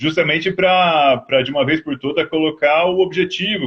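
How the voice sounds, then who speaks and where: A man talks in an ordinary speaking voice, pitched fairly high and paced moderately. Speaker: agronomist. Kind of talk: interview. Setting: video call on a mobile phone. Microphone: phone, video freezing.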